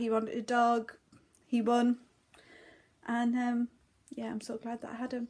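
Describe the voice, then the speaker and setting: A woman is speaking. She talks with a northeast English accent. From northeast England. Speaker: crafts vlogger. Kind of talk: casual vlog chat. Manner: hesitant, filler words.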